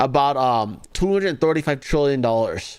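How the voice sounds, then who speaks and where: A man speaks in a normal speaking voice, fairly high in pitch, with an American accent. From Los Angeles, US. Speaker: political commentary streamer. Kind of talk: live commentary. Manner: sarcastic, mocking.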